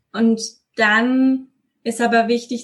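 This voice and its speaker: Very slow, somewhat breathy speech from a woman, fairly high in pitch with fairly even intonation. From Westphalia, Germany. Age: 20s. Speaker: deacon and social worker. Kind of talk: interview.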